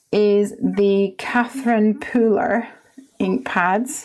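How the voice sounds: Very slow and slightly mellow, a woman speaks at a medium pitch.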